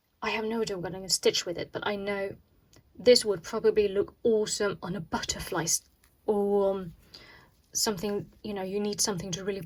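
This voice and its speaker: With a non-native accent, the speaker talks at a fairly quick pace and with fairly even intonation. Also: woman, medium pitch for a woman. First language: not English. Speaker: cross stitch video host. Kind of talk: casual unboxing tutorial. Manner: chatty, with frequent hesitations.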